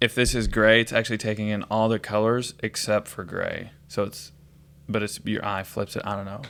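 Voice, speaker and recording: Mumbling at a moderate pace, a man keeps a fairly low pitch and a monotone, flat intonation on a very clean recording with a silent background. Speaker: podcast co-host. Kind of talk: casual chat.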